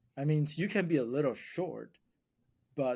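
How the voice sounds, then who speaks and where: Speaking at a moderate pace, a man uses a fairly high pitch, ordinary pitch variation and a dark, mellow tone. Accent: Mandarin. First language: Mandarin. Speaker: podcast host, real estate investor. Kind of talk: casual chat.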